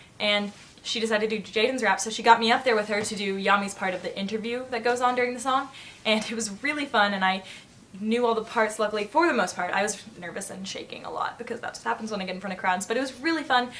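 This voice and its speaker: Very fast, animated speech with ordinary pitch variation against noticeable background noise. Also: woman, fairly high pitch for a woman. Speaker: vlogger. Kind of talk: casual vlog storytelling.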